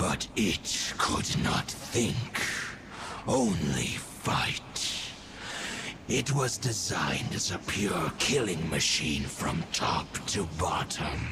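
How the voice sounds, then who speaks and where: A put-on character voice at a very slow pace over loud background noise. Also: man, fairly low pitch for a man. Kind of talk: archaic solemn speech. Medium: machinima. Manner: grave, slow, aloof.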